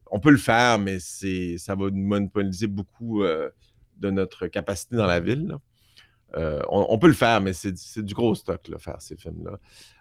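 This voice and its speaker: In a very clean recording with a silent background and a dry, close sound with no echo, a man talks at a fairly slow pace and a fairly low pitch with ordinary pitch variation. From Montreal, Quebec (Outremont). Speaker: film sound designer and mixer. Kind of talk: interview. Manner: talkative.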